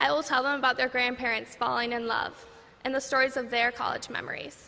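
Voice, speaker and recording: Her voice sits high and stays monotone and flat as she talks with an American accent. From Minnesota. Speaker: college graduate. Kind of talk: commencement speech.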